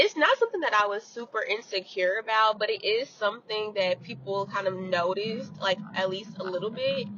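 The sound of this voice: Woman at a fairly quick pace with hardly any pauses and ordinary pitch variation, against noticeable background noise.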